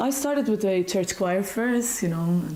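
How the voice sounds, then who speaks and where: A woman with a Maltese accent talks at a fairly quick pace in a medium pitch. Audible room echo and noticeable background noise surround her. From Malta. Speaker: singing teacher. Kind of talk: interview. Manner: hesitant, many fillers.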